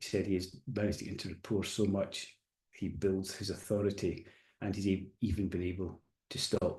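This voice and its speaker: Soft-spoken and somewhat breathy, a man talks at a moderate pace with a fairly low pitch and fairly even intonation. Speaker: coach and hypnotherapist giving a webinar. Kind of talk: recorded webinar presentation.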